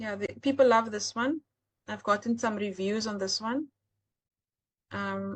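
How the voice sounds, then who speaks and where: A somewhat breathy woman's voice with a South African accent, fairly high in pitch, with fairly even intonation, a fairly slow pace and long, frequent pauses against a quiet background. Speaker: AI art seller and webinar host. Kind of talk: live webinar tutorial. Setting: live online webinar.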